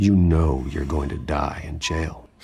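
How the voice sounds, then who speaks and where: A man's cartoonish character voice, growling and very deep in pitch, with fairly even intonation and a fairly slow pace. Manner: low, restrained intensity.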